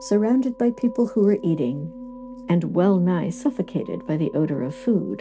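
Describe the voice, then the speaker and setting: Backed by music, a woman with a gentle, soothing tone speaks at a moderate pace and medium pitch with very wide pitch swings. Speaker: audiobook narrator. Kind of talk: sleep story, classic literature reading. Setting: studio, with quiet background music. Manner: gentle, soothing, calm.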